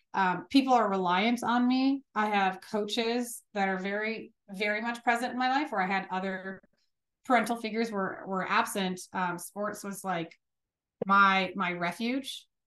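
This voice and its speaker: With a plain, everyday voice, a woman speaks at medium pitch and a moderate pace, with ordinary pitch variation, against a quiet background. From Chicago, US Midwest. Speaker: business owner. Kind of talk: interview. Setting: remote call.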